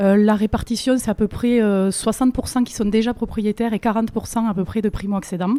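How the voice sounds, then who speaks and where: Speaking fairly quickly with hardly any pauses, a woman with a fairly high pitch and a southern French accent sounds dry and close with no echo, against noticeable background noise. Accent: southern French, sing-song. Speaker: mortgage broker. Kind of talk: interview answer.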